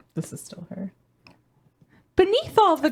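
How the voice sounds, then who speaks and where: In a put-on character voice, a female-sounding voice speaks at a moderate pace with a gentle tone and a high pitch. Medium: game stream. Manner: soft, gentle.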